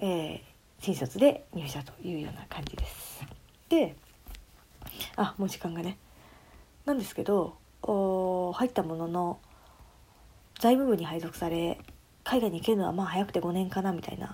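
The voice is somewhat breathy, with a dark, mellow tone and lively intonation. Loudness swings widely, and the pauses are long and frequent. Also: woman, medium pitch for a woman, moderate pace. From Tokyo, Japan. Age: 20s. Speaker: podcast co-host, office worker. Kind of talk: casual chat.

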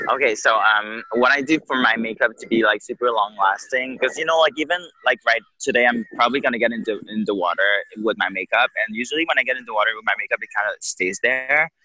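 A man with a Quebec accent talks at a very fast pace in a dry, close sound with no echo. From Quebec City. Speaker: drag queen. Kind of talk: interview. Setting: outdoors on a beach.

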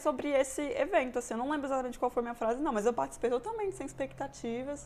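A woman speaks at a very fast pace and a high pitch, with ordinary pitch variation. Noticeable background noise runs underneath. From Brazil, Brasília. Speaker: mechanical engineering student. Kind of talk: casual interview. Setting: host's home.

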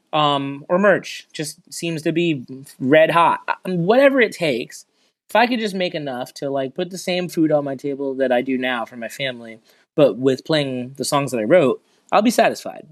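With lively intonation and a fairly high pitch, a man talks at a moderate pace in a plain, everyday voice on a very clean recording with a silent background. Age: 30s. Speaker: singer and music teacher. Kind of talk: casual chat.

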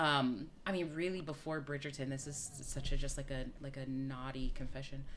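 With hardly any pauses, a woman with a very deep, low pitch talks at a moderate pace and fairly even intonation, with audible room echo. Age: 40s. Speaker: podcast host and theatre artist. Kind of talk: casual chat.

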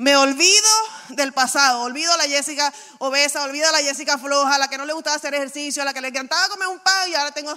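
Over noticeable background noise, a woman with a high pitch uses a raised, projected voice and an animated tone. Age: 40s. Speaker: pastor. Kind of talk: sermon.

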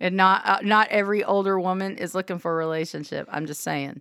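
Recorded very cleanly against a silent background, a woman talks at a medium pitch with a Southern Oklahoma accent. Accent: Southern Oklahoma country. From Southwest Oklahoma. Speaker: radio host. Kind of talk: casual chat.

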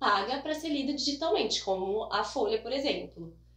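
A woman's voice makes very wide pitch swings. Noticeable background noise and audible room echo come through. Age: 30s. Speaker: newspaper reporter. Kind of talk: casual interview.

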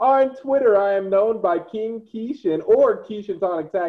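This man talks at a fairly slow pace in a high voice whose pitch swings very widely. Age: 20s. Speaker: cosplayer and YouTuber. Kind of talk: casual chat.

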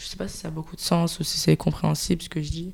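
The speaker is a woman. Her voice is pitched fairly low. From France, Marseille. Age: 20s. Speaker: communications graduate, podcast guest. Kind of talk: casual chat. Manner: hesitant, many fillers, laughs often.

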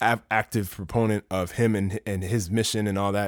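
A man with an American accent talks at a moderate pace in a plain, everyday voice, fairly low in pitch. The sound is dry and close with no echo, in a very clean recording with a silent background. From US, Maryland (DC area). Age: 30s. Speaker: podcast host. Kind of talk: solo monologue podcast. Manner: casual, conversational.

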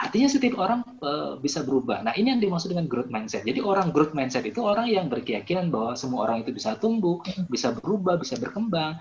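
Noticeable background noise behind a man with a fairly high pitch, very wide pitch swings, and a very fast pace. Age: 30s. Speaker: life coach reviewing a book. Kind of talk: online book discussion talk. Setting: video call. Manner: hesitant, many fillers and repetitions.

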